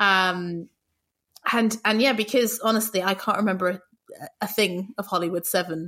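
A woman with a British accent speaks at a medium pitch in a bright, sharp tone, her loudness very even on a very clean recording with a silent background. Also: fairly even intonation, moderate pace. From UK. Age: 30s. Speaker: podcast guest, music podcaster. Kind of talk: casual chat.

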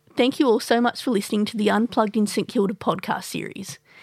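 A woman with an Australian accent talks at a very fast pace. Her pitch is fairly high and her intonation fairly even. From Sydney, Australia. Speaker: podcast host. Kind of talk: interview; scripted narration. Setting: studio.

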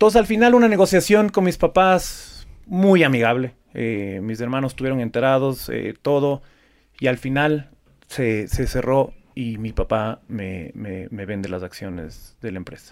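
A man at medium pitch speaks at a fairly slow pace. His pitch swings very widely and his loudness rises and falls sharply. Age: 40s. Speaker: flower export business owner. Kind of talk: interview.

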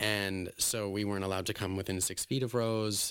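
Over a very clean, silent background, a man with a Western Canadian accent speaks at a fairly quick pace in a fairly low, monotone voice with flat intonation. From Alberta, Canada. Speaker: drag performer. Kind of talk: casual interview.

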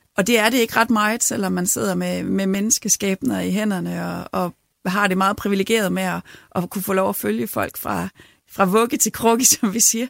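Very clean audio of a woman, the sound dry and close without any echo, over a silent background. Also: moderate pace. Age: 40s. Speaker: parish priest and union chair. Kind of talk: interview.

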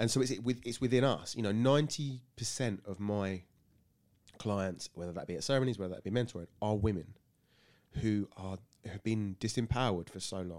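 A fairly quick delivery with a southern English accent and ordinary pitch variation. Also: man, fairly low pitch for a man. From Sussex, England. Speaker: wellbeing coach. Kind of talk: casual interview.

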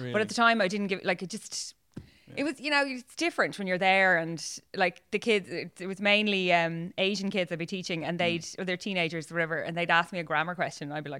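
A woman with an Irish accent talks at a very fast pace, her medium-pitched voice bright and sharp in tone. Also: ordinary pitch variation. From Ireland. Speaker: podcast guest, works in advertising. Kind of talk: casual, conversational. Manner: chatty, self-deprecating storyteller.

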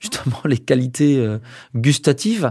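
The recording is very clean with a silent background. A man speaks at a medium pitch in a dark, mellow tone. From Brittany, France (Brest). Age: 50s. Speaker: professor and video compression researcher. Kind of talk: interview. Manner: halting, many fillers and repetitions.

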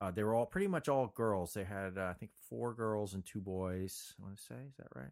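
In a very clean recording with a silent background, a man with an unremarkable speaking voice and a fairly low pitch uses lively intonation and big swings in loudness, at a moderate pace with hardly any pauses. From New Jersey (Montclair). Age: 50s. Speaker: screenwriter and producer. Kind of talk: casual interview.

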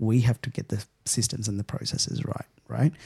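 In an Australian accent, a man speaks fairly quickly with a fairly low pitch, a dark, mellow tone, fairly even intonation and a somewhat breathy quality, the sound dry and close with no echo. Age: 30s. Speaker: event technology CEO. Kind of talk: interview.

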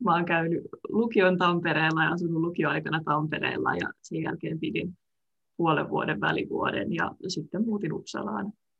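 A woman's fairly low-pitched voice, a normal speaking voice, at a moderate pace with ordinary pitch variation. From Finland, Tampere area. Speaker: medical student. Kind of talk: interview. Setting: video call.

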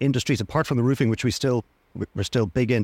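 The speaker has a Dublin accent and ordinary pitch variation on a very clean recording with a silent background. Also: man, dry, close sound with no echo. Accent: Dublin Irish. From Ireland, Dublin. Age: 50s. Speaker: sales director of a family instrument business. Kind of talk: interview. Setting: trade show stand with background noise.

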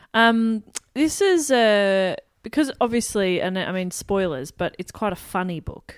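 A woman with an Australian accent talks at a fairly slow pace with lively intonation. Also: medium pitch for a woman. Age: 20s. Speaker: radio presenter. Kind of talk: casual chat.

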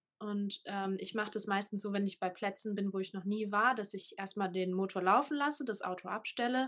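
At a fairly quick pace, a woman uses a normal speaking voice with medium pitch and fairly even intonation. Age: 20s. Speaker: full-time van nomad. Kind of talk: interview.

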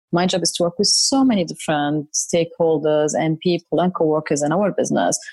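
At a fairly quick pace, a woman talks in a fairly low pitch with a dark, mellow tone. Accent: Arabic. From Saudi Arabia and Syria. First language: Arabic. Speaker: corporate services leader. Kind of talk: interview.

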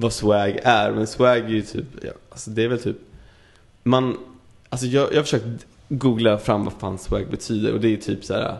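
This man speaks at a moderate pace with a medium pitch and vocal fry. His intonation stays fairly even. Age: 20s. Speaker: podcast guest. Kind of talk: casual chat.

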